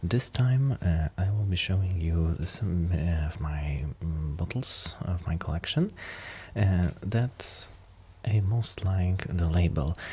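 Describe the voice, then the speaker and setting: A man's very deep, low, somewhat breathy voice at a very slow pace, with ordinary pitch variation. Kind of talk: ASMR soft-spoken beer collection show-and-tell to camera. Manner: soft-spoken, hesitant with frequent fillers.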